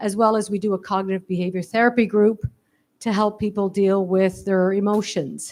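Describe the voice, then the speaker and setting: In a Canadian accent, the speaker keeps a fairly even intonation and a moderate pace in a very clean recording with a silent background. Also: woman, medium pitch for a woman. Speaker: social worker. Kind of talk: impromptu remarks. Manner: loud.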